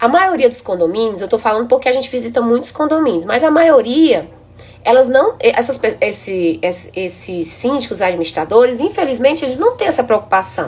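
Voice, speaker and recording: A woman with a high voice talks at a fairly quick pace. Her pitch swings very widely. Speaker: building inspection engineer. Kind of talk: live stream presentation. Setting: live stream.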